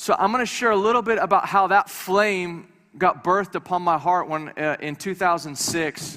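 The voice is raised and projected with a bright, sharp tone, ordinary pitch variation and hardly any pauses. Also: man, high pitch for a man, moderate pace. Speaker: visiting preacher. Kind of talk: sermon. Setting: church with congregation. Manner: animated.

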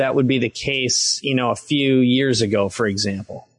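With an American accent, a man uses an ordinary speaking voice at medium pitch, moving at a moderate pace with ordinary pitch variation. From Minnesota, US Midwest. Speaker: entrepreneur and author. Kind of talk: interview. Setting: podcast interview.

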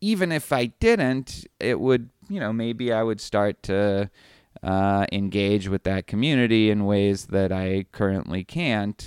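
This man speaks at a fairly slow pace with a fairly low pitch and ordinary pitch variation. The sound is dry and close with no echo, on a very clean recording with a silent background. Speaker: philosophy professor, podcast co-host. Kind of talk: casual chat. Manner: loud.

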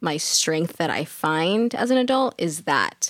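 Over a silent background in a very clean recording, a woman with an ordinary speaking voice talks at a fairly slow pace, the sound dry and close with no echo. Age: 20s. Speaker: domestic abuse survivor and mother. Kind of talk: casual interview.

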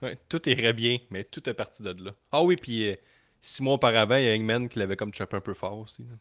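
Speaking fairly quickly with a Quebec accent, a man uses a medium pitch and ordinary pitch variation. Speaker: wrestling podcast co-host. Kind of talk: casual chat. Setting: live stream.

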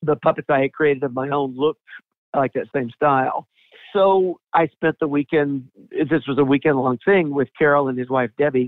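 With an American accent, a man talks in a plain, everyday voice, fairly high in pitch, at a moderate pace and with fairly even intonation. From US South, Atlanta. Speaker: puppeteer. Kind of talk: interview.

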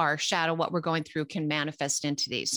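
A woman talks with a Californian accent in a bright, sharp tone. The sound is dry and close with no echo, and the recording is very clean over a silent background. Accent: Californian American. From Los Angeles, US West Coast. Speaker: psychic medium, podcast co-host. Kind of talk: casual chat.

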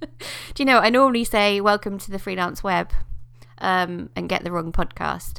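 The recording is very clean, and the background is silent. A woman talks at a moderate speed. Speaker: podcast host. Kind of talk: casual chat.

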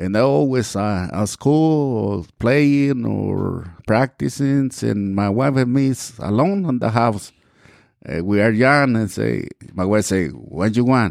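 A man speaks very slowly with a Spanish accent, at a medium pitch. His intonation is lively, and the background is quiet. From Mexico. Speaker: pastor. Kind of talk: testimony. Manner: halting.

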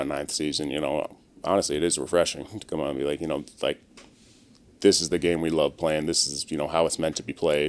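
A man's very fast, monotone, flat delivery in a very deep, low voice with an American accent. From Maryland, US. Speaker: professional football player. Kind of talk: casual interview.

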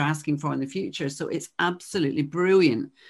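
In a Glasgow accent, a woman talks at a fairly quick pace with ordinary pitch variation. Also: quiet background. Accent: Scottish (Glasgow). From Glasgow, Scotland. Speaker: podcast host and coach. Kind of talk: interview.

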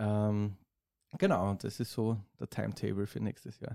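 A dark, mellow tone at a fairly slow pace, with fairly even intonation. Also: man. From Austria, southeastern Styria. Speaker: drummer and music producer. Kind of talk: casual chat.

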